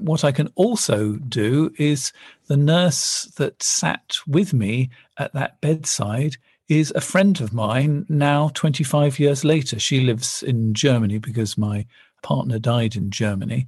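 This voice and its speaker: An English-accented man, somewhat breathy, with a fairly high pitch, lively intonation and a fairly slow pace, against a quiet background. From England. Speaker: marital therapist and author. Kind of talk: interview conversation.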